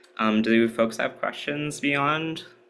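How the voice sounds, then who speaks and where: Noticeable background noise sits behind this voice. A man speaks at a medium pitch with lively intonation. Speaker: workshop presenter. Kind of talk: workshop talk. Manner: casual, many filler words.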